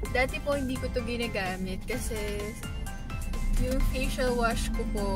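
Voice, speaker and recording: A woman talks at a fairly slow pace, dry with no echo. Loud music plays in the background. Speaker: vlogger. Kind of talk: casual vlog chat. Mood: cheerful, a bit shy. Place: car. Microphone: phone near.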